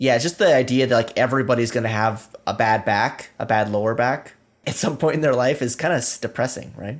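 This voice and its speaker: On a very clean recording with a silent background, a man has an ordinary speaking voice. His pitch is medium, with ordinary pitch variation. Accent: American. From US Pacific Northwest, Washington State. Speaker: software developer advocate. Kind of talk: casual chat.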